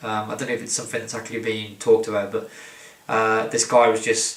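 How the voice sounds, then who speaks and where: A man mumbles. Background noise is noticeable. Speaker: wrestling commentator. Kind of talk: casual talk to camera. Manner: rambling, mumbling.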